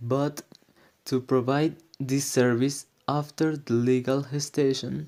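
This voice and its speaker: Very slowly, a man speaks with a non-native accent at a medium pitch in a monotone, flat intonation. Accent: non-native, self-described bad pronunciation. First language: Spanish. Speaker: student presenter. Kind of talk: prepared presentation. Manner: halting, non-fluent.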